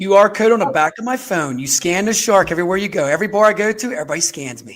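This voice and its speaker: Against noticeable background noise, a man with a Pittsburgh accent speaks very fast and high-pitched, with lively intonation and big swings in loudness. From Pittsburgh, US. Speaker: podcast co-host, recruiter. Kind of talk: casual chat. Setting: live stream.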